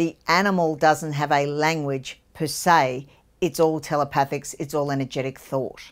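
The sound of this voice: A woman's low voice in a strong Australian accent, with fairly even intonation. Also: moderate pace. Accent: broad Australian.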